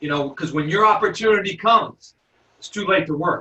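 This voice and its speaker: In an animated tone, a man speaks with ordinary pitch variation. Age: 40s. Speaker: basketball coach and trainer. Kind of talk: webinar presentation. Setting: recorded webinar.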